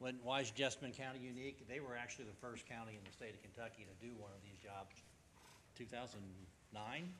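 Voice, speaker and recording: Bright and sharp, a man's voice races along at a very fast pace, medium in pitch with ordinary variation. Audible room echo surrounds it. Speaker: company president giving sales presentation. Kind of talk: sales pitch.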